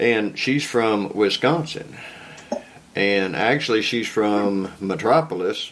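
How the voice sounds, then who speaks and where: In a strong Southern US accent, a man with a medium-pitched voice speaks very slowly with ordinary pitch variation amid noticeable background noise. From Kentucky. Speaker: podcast host. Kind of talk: casual interview chat.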